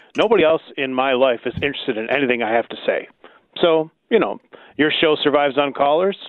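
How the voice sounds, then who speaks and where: A normal speaking voice from a man, fairly high in pitch, at a fairly quick pace. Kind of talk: casual chat.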